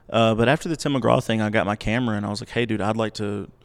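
A fairly low-pitched man with an Alabama accent, very fast delivery, quiet background. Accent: Alabama Southern. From US South, Montgomery, Alabama. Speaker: digital marketer and artist manager. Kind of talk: casual interview chat. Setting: live at a country music venue.

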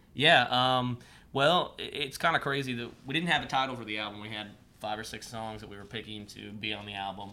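Recorded with audible room echo, a man with a US Midwestern accent speaks at a medium pitch, his loudness swinging widely. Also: ordinary pitch variation, fairly quick pace. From Ohio, Columbus area. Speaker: country singer-songwriter. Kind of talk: casual interview.

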